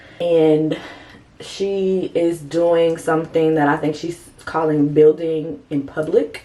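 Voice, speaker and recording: Over noticeable background noise, a woman talks in a very deep, low pitch. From US Midwest, St. Louis, Missouri. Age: 30s. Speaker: lifestyle and design vlogger. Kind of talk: casual vlog monologue. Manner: conversational with frequent fillers.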